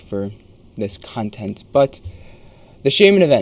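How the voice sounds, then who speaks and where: A man's voice against noticeable background noise. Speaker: gaming youtuber. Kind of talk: casual video commentary.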